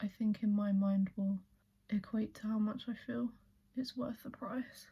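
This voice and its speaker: Soft-spoken and somewhat breathy, a woman speaks at a fairly slow pace in a fairly high pitch with a relaxed tone and fairly even intonation. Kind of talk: ASMR get ready with me, chatty makeup talk to camera. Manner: soft-spoken, relaxed, chatty.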